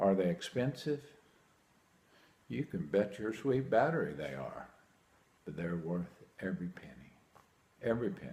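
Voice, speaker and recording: A man with a dark, mellow tone and fairly low pitch talks at a moderate pace, with vocal fry and very wide pitch swings. His loudness swings a lot, and he takes long, frequent pauses. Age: 60s. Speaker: hearing aid patient. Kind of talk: testimonial. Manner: animated.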